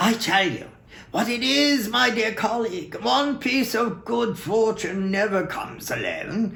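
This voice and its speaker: A man's put-on character voice, high in pitch and fairly slow, over light background noise. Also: ordinary pitch variation. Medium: read story. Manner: earnest, collegial.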